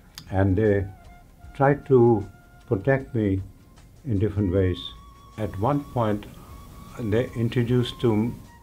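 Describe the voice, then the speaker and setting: A man talks at a very slow pace with long, frequent pauses while music plays in the background. His fairly low voice keeps a fairly even intonation. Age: 80s+. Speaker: yoga teacher. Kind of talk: interview answer.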